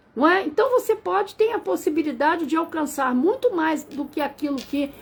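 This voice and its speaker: A woman at a moderate pace with lively intonation. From Rio de Janeiro, Brazil. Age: 60s. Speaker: numerologist. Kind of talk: live stream talk. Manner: halting.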